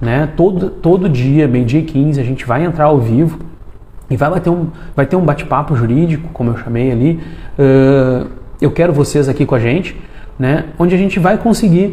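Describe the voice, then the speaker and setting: Speaking with very even loudness, a man uses a fairly high pitch with ordinary pitch variation. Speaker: lawyer. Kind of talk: live stream talk to lawyers. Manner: fast; hesitant, many fillers.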